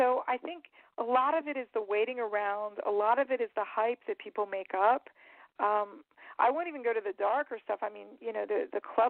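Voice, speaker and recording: A woman with an American accent, fairly high-pitched, at a fairly quick pace with ordinary pitch variation. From Maryland, DC area. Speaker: actress. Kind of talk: casual interview chat.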